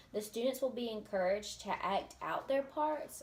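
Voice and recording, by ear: A woman talks at a moderate pace, with audible echo from the room.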